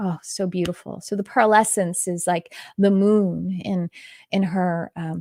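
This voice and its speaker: A woman with an American accent speaks with fairly even intonation in a dry, close sound with no echo. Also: very clean recording, silent background. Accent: Texas accent slips back on some words. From Texas. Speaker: spiritual teacher and psychic. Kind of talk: live-stream intuitive reading. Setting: live stream. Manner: casual, with many fillers.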